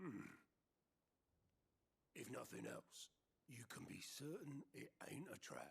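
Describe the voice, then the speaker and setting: A man does a raspy, put-on character voice at a fairly high pitch. He goes at a fairly slow pace with long, frequent pauses. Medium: video game. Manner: casual, plain-spoken.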